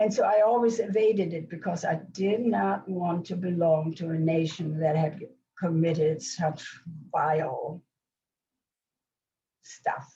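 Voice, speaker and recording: A woman speaks at a fairly slow pace with lively intonation and a somewhat breathy sound. Long, frequent pauses break up her speech, and room echo is audible. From Germany, Hamburg. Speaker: Holocaust survivor and author. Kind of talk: question and answer after lecture. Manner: halting, many restarts.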